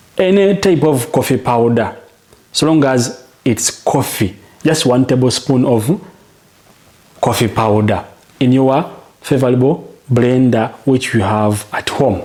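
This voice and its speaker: With noticeable background noise, a man at a medium pitch talks at a fairly slow pace, varying his pitch in an ordinary way and leaving long, frequent pauses. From Uganda. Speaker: home remedy health coach. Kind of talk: tutorial. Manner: repetitive, direct address; slow, deliberate.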